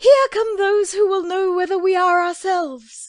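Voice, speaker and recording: In a put-on character voice, a woman sounds squeaky at an extremely high pitch while keeping a moderate pace. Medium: audio drama.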